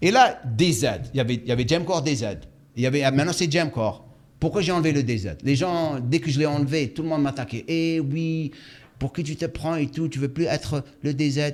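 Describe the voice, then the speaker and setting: Fairly quick speech from a man with a non-native accent, fairly high pitch and ordinary pitch variation. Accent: non-native French, imperfect. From Algeria. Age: 60s. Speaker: fitness coach and YouTuber, former pro bodybuilder. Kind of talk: interview.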